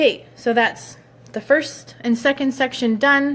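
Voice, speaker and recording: A woman speaks in a somewhat breathy voice. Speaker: hairstylist. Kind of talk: tutorial.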